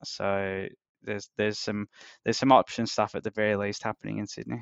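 Using an Australian accent, a man talks at a fairly quick pace in a fairly low pitch. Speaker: hedge fund trader. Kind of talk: casual interview conversation.

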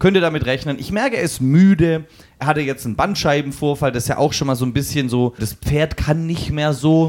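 An unremarkable speaking voice from a man, fairly high in pitch, fairly quick, with ordinary pitch variation. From eastern Germany. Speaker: football podcast co-host. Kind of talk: casual chat.

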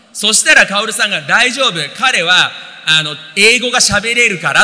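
Over noticeable background noise, a man uses a raised, projected voice with lively intonation. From Japan, Tokyo. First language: Japanese (speaking Portuguese). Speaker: interpreter and businessman. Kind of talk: testimony on stage.

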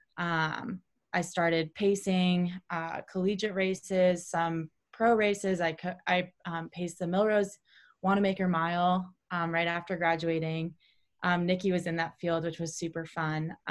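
Monotone and flat, a woman with an American accent speaks at a fairly low pitch and a fairly slow pace. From Ohio, Cleveland area. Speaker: running coach and former pro runner. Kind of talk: interview.

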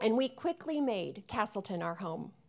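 A woman with an unremarkable speaking voice and fairly high pitch talks at a moderate pace. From US Midwest, Chicago suburbs. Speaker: guest preacher. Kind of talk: sermon.

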